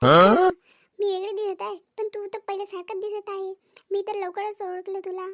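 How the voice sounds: A woman performs a cartoonish character voice at an extremely high pitch with monotone, flat intonation and a moderate pace. The sound is dry and close with no echo.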